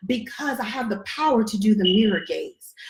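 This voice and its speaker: A woman speaks at a fairly slow pace with lively intonation. Audible room echo surrounds her voice. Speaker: relationship coach and online class host. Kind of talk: online workshop teaching. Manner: usually loud and charismatic; deliberately controlled, measured here.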